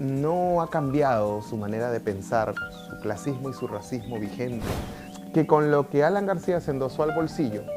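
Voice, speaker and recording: His pitch swings very widely as the man talks. Behind him, music is playing. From Peru. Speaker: writer and journalist. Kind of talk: interview answer.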